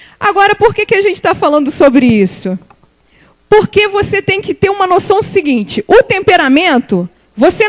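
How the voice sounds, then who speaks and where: A woman talks at a fairly slow pace with very wide pitch swings, the sound dry and close with no echo. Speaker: church speaker, guest preacher. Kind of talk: sermon.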